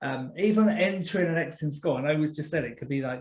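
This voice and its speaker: Talking at a very fast pace, a man uses a fairly high pitch with ordinary pitch variation. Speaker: deputy head teacher and podcast host. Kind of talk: online training presentation.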